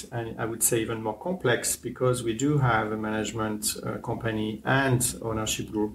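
A man at a medium pitch and moderate pace, fairly even in intonation, with light background noise. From France. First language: French. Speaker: hotel general manager. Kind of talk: interview. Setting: on location in a hotel. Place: home room. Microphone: lapel.

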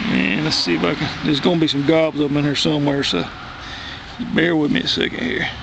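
A man talks at a very fast pace in a fairly high pitch with lively intonation. Background noise is noticeable. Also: dry sound with no echo. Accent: Southern US. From US South. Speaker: worm composting hobbyist. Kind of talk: tutorial; casual tutorial. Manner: casual, halting with fillers. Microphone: phone near.

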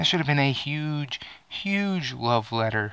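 In a dry recording with no echo, a man speaks in a furious tone. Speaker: gaming and movie vlogger. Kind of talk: angry rant. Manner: loud, profane, furious; animated, sarcastic. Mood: angry, exasperated. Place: home room. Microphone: headset.

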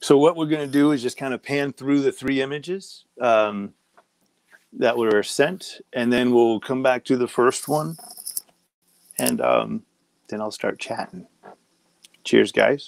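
Dry sound with no echo carries a man speaking at a fairly slow pace, with ordinary pitch variation and long, frequent pauses. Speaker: comic artist hosting online convention. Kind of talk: live portfolio review. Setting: home office livestream. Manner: casual with many fillers. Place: home room.

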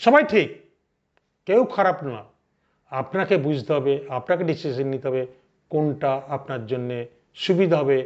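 This man's voice sits fairly high, with ordinary pitch variation. It is an ordinary speaking voice. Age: 60s. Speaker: financial advisor. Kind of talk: educational talk to camera.

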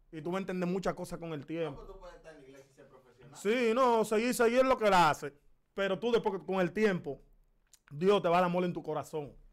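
Speaking at a fairly quick pace, a man with a high voice uses ordinary pitch variation and big swings in loudness. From Dominican Republic. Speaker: comedy show host; podcast guest. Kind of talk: heated confrontational interview. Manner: animated. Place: studio. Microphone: studio mic.

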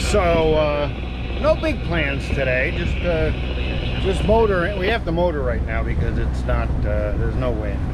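Here a man talks at a fairly slow pace. Loud background noise runs underneath. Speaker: sailing vlogger. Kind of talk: casual vlog chat. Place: boat. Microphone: phone near.

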